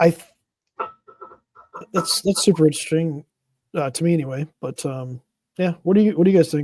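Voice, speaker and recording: A man's mumbling at a high pitch and a fairly quick pace, with long, frequent pauses, fairly even intonation, a dark, mellow tone and a dry, close sound with no echo. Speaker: podcast host. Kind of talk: casual chat.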